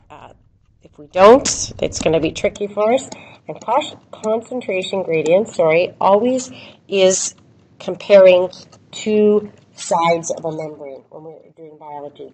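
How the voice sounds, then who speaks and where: A woman with a plain, everyday voice speaks at a fairly slow pace in a medium pitch, with lively intonation and big swings in loudness. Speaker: biology teacher. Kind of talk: recorded lecture.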